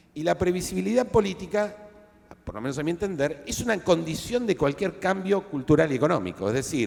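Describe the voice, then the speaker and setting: A man speaks with an Argentine accent at a fairly quick pace. His voice is high. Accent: Argentine Spanish (Rioplatense). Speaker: historian interviewing author. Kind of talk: book presentation discussion. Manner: halting, many fillers.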